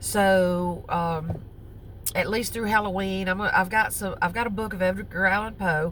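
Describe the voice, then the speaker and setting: A woman speaks with vocal fry amid audible room echo. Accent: Southern US. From US South. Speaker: crochet vlogger. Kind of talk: casual chat. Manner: halting, with many fillers.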